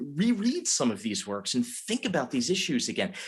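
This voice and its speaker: With a slight Philadelphia accent, a man speaks with vocal fry and very wide pitch swings on a very clean recording with a silent background. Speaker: college dean and literature professor. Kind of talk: moderated conversation.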